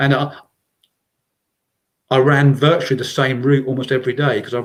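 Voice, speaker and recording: A man with a medium pitch speaks at a moderate pace in an English accent. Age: 60s. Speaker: trail runner. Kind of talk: casual interview chat. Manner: halting, many repeated words.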